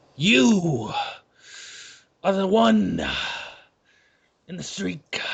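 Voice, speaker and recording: A man performs a put-on character voice. It sits fairly high and swings very widely in pitch. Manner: dramatic, movie-style delivery.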